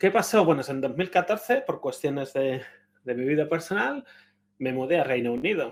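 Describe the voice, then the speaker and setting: This man speaks at a moderate pace with a Spanish accent, his fairly high voice moving in a lively intonation. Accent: Spanish (Spain). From Spain. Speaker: conference speaker. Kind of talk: conference talk. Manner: conversational, with frequent hesitations.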